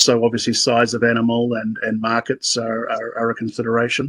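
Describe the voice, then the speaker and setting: The man has a New Zealand accent and a medium pitch, recorded with a dry, close sound and no echo. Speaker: sheep breeder, meeting participant. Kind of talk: casual discussion comment. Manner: halting, many repetitions and fillers.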